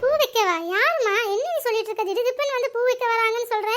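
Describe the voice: In a cartoonish character voice, a woman talks at a fairly quick pace, squeaky and extremely high-pitched, at very even loudness with music in the background.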